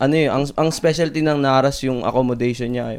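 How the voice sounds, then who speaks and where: A man talks in a normal speaking voice with ordinary pitch variation. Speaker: chef. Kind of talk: casual chat.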